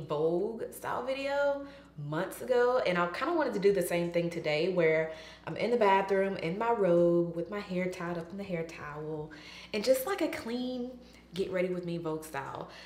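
Moderate pace from a woman's voice, room echo audible. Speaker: beauty vlogger. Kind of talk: casual vlog chat. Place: bathroom. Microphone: camera far.

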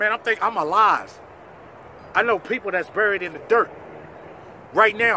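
A man's raised, projected voice, high-pitched, fairly quick and fairly even in intonation, dry with no echo and light background noise. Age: 40s. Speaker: documentary subject. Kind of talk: personal testimony. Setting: in front of cameras. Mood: earnest, grateful, defiant. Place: open country.

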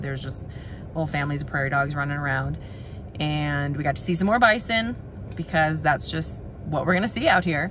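A woman talks at a fairly quick pace in a very deep, low voice. The sound is dry with no echo, with noticeable background noise. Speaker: travel vlogger. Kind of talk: casual vlog chat. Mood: relaxed, content. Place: car. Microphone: phone near.

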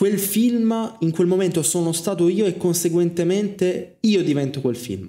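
Against a quiet background, a man with a high pitch and a dark, mellow tone talks fairly slowly with hardly any pauses and ordinary pitch variation. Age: 20s. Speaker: film student and streamer; streamer. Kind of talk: casual monologue. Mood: reflective, personal. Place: home room. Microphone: studio mic.

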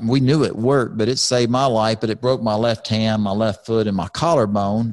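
Over a quiet background, a man with an American accent talks at a moderate pace. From Texas, Houston. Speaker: retired NASCAR driver, podcast host. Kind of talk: casual chat. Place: studio. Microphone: studio mic.

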